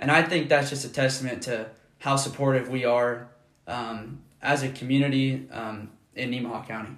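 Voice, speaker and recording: A man of medium pitch at a moderate pace, fairly even in intonation, with audible room echo and noticeable background noise. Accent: American. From US Midwest, rural Nebraska. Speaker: podcast co-host, college student. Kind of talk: casual chat.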